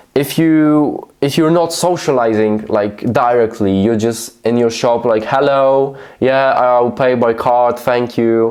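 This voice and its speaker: With a Polish accent and a medium pitch, a man speaks at a very slow pace with ordinary pitch variation and hardly any pauses. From Poland. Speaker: YouTube creator. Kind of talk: casual vlog monologue. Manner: slow and halting.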